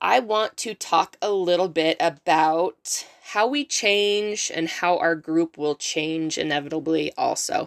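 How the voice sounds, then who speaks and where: A woman speaks at a very slow pace with a fairly low pitch and ordinary pitch variation. The recording is very clean, with a silent background. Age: 30s. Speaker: podcast host. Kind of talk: solo motivational podcast talk. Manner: casual with frequent fillers.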